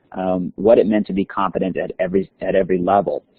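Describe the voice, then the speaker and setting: Delivery moves at a fairly quick pace. The intonation stays fairly even. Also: man. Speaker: school district leader. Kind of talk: webinar presentation. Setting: webinar. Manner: fast.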